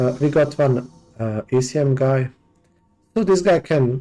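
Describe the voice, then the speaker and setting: With music in the background, a man with a non-native accent speaks at a medium pitch with ordinary pitch variation. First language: not English. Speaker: gaming let's play host. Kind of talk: gameplay commentary. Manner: hesitant, many fillers.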